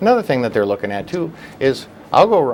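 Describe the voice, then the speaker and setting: Against noticeable background noise, a man with a North Dakota accent talks at a very fast pace. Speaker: political candidate. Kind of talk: interview.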